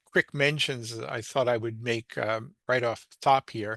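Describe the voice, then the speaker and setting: A man with an American accent talks at a moderate pace in a bright, sharp tone. The sound is dry and close with no echo, over a quiet background. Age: 70s. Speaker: local civic commentator. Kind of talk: casual monologue. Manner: hesitant, many fillers.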